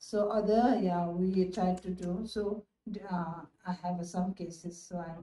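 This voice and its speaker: Flat, monotone delivery from a woman at medium pitch, fairly slow pace, with audible room echo. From Nepal. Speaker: gynecologist. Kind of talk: interview answer. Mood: calm, explanatory. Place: office. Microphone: phone near.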